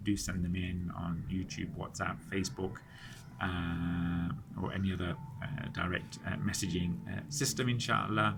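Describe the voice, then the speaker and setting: A man talks with a very deep, low pitch. Room echo is audible. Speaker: Islamic study circle teacher. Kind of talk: lecture. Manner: halting, many fillers and repetitions.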